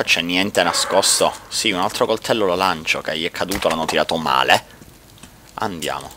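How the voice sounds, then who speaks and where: A man with a very deep, low pitch at a moderate pace, noticeable background noise behind him. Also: ordinary pitch variation. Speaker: gaming YouTuber. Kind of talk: let's play commentary. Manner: casual and chatty. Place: home room. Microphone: headset.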